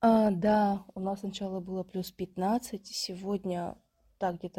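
A woman speaks very slowly at a medium pitch in a dark, mellow, somewhat breathy tone with flat, monotone intonation. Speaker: podcast co-host. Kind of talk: casual chat.

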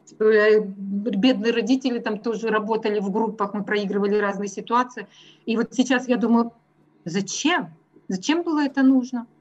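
A woman's fairly high, somewhat breathy voice at a moderate pace, with ordinary pitch variation and long, frequent pauses. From Russia. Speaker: math teacher. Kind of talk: interview.

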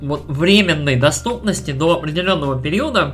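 With ordinary pitch variation, a man's speech holds a moderate pace. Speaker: video game podcast co-host. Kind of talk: casual chat. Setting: remote online recording.

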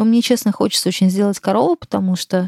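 In a dry, close recording with no echo, a woman speaks at a medium pitch with a dark, mellow tone and ordinary pitch variation. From Moscow, Russia. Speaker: artist and curator. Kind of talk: interview conversation. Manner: hesitant with many fillers.

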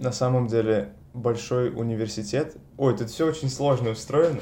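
Audible room echo and noticeable background noise surround a man's voice. He has a medium pitch, ordinary pitch variation and a moderate pace. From Russia, Saint Petersburg. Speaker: master's student in neuroscience. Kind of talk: interview.

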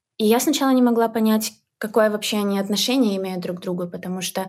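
A woman speaks in a plain, everyday voice with medium pitch and fairly even intonation. The recording is very clean, with a silent background. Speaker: volunteer. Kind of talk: interview, casual chat.

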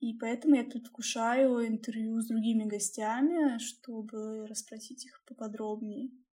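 A woman speaks at a fairly high pitch with a dark, mellow tone and fairly even intonation. Her pace is fairly slow, with hardly any pauses and big swings in loudness. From Russia, Bryansk. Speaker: podcast co-host. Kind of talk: casual chat.

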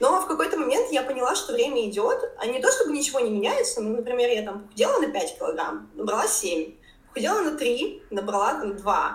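With an audible room echo, a woman talks at a fairly quick pace. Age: 20s. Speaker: fitness trainer and blogger. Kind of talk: interview.

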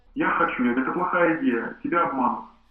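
Audible room echo mixes with noticeable background noise throughout. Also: man. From Kuban, southern Russia. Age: 30s. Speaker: farmer. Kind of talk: interview testimony.

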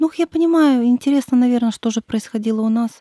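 Recorded very cleanly against a silent background, with a dry, close sound and no echo, a woman speaks at a moderate pace in a dark, mellow tone. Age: 30s. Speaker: mother and stepmother of five. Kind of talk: casual interview. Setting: studio.

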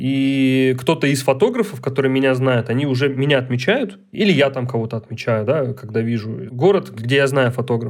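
A man's normal speaking voice at medium pitch with ordinary variation, moving at a moderate pace with hardly any pauses. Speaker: documentary photographer. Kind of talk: casual chat.

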